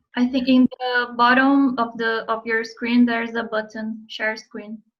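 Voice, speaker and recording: A woman with a Portuguese accent speaks fairly slowly in a fairly high voice with flat, monotone intonation. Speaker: interviewer and interpreter. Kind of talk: casual interview.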